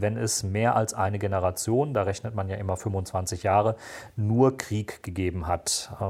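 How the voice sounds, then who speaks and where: A somewhat breathy voice at a fairly slow pace, recorded very cleanly against a silent background. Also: man. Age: 40s. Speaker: security policy analyst and podcaster. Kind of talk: interview.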